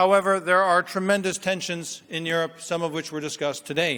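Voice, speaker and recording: At a moderate pace, a man talks in a high, bright, sharp tone with an American accent. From United States. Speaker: business school professor. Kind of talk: conference keynote speech. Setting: stage with audience. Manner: hesitant, many fillers.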